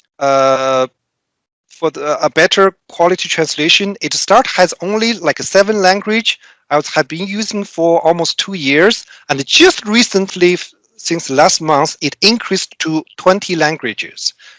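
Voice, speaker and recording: The speaker talks at a fairly slow pace with a Chinese accent. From China. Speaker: corporate trainer. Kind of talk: prepared speech. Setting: speech club meeting. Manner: halting, many fillers.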